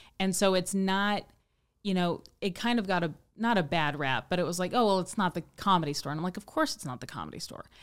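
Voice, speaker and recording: A woman with a Midwestern US accent talks at a very fast pace, her loudness swinging widely. The recording is very clean, with a silent background. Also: medium pitch for a woman, ordinary pitch variation. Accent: General American, Midwestern. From US Midwest, Kansas City. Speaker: stand-up comedian. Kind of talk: casual chat.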